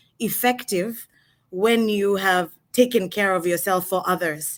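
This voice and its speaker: Her pitch is medium. The woman keeps her intonation fairly even. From Kenya, Nairobi, moved around internationally. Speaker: executive coach and brand strategist. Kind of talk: online interview.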